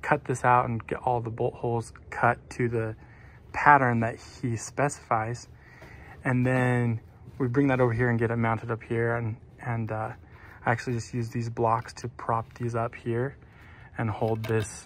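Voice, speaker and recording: A man's monotone, flat delivery at a moderate pace, broken by long, frequent pauses. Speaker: building contractor. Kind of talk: tutorial. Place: street. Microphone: phone near.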